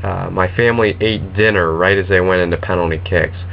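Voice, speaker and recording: With an American accent, a man speaks in a very deep, low voice. His pace is moderate, and noticeable background noise is present. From US, New Jersey. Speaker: football vlogger. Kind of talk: casual vlog monologue. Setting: webcam recording. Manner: hesitant, many fillers.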